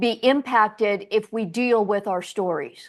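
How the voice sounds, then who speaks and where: A woman's fairly high-pitched voice with lively intonation at a very slow pace, against a quiet background. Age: 60s. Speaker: podcast host. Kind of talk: interview.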